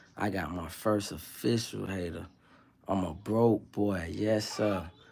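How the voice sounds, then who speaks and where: A man's voice at a fairly low pitch. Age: 30s. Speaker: live streamer. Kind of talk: casual live stream chat. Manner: animated.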